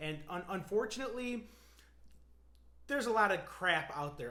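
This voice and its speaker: A man's animated voice with ordinary pitch variation and audible room echo. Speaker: physical therapist. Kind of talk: educational talk to camera. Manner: fast; animated, casual.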